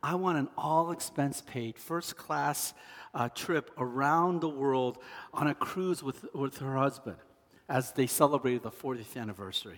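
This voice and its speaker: The delivery is fairly slow, with ordinary pitch variation. It is a normal speaking voice. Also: man, fairly high pitch for a man. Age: 50s. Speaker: pastor. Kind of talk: sermon.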